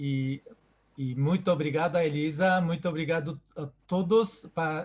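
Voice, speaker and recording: Speaking at a fairly slow pace, a man with a Japanese accent uses a fairly high pitch and fairly even intonation. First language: Japanese (speaking Portuguese). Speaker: event organizer. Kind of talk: closing remarks. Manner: halting, repeats words.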